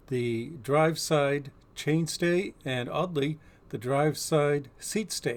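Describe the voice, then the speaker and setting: The voice belongs to a man with a fairly high pitch. It shows ordinary pitch variation. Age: 60s. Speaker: bike reviewer. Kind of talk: product review vlog. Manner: casual, conversational.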